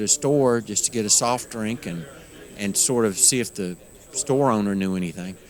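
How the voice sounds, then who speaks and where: A man speaks at a moderate pace. His medium pitch shows ordinary variation. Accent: Appalachian. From Western North Carolina, Appalachian mountains. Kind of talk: interview. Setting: conference.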